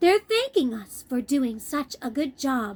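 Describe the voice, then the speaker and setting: Putting on a character voice, a woman speaks high-pitched at a fairly slow pace. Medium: read story. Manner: theatrical, enthusiastic.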